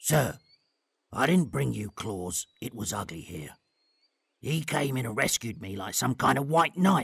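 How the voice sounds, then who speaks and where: Using a put-on character voice, a man talks at a moderate pace and medium pitch, leaving long, frequent pauses. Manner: earnest, determined.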